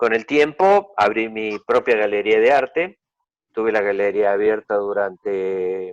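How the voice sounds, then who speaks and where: Speaking at a fairly slow pace, a man has a fairly low pitch and ordinary pitch variation. The sound is dry and close, with no echo. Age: 60s. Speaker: art dealer and collector. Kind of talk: interview. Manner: hesitant, many fillers.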